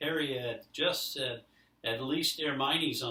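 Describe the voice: Here the text is simply read aloud in a plain manner.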